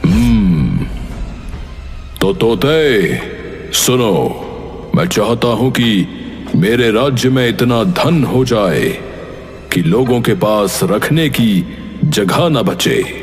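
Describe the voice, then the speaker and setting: A man's cartoonish character voice at medium pitch, very slow with long, frequent pauses, over clear background noise. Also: very even loudness. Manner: commanding.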